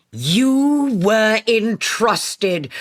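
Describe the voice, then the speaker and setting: Putting on a character voice, a woman speaks at a fairly high pitch. Her intonation is lively. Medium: read story. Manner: lofty, condescending.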